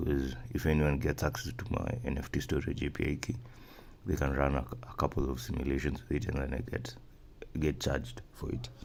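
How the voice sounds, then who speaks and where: A man talks at a fairly quick pace in a very deep, low voice, broken by long, frequent pauses. Noticeable background noise and audible room echo surround him. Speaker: software developer tutorial maker. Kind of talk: screen-recorded coding tutorial. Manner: fast; halting, many fillers and repeats.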